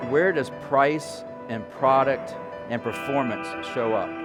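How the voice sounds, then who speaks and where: Music plays in the background. A man with medium pitch speaks with lively intonation. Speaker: professional keynote speaker. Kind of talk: keynote speech highlights reel on values and relationships.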